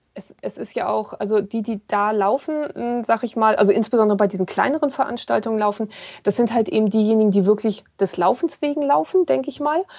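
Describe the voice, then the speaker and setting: A woman with a normal speaking voice and a fairly high pitch talks at a fairly quick pace with lively intonation. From northern Germany, Kiel. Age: 40s. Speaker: ultrarunner and blogger. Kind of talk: casual chat.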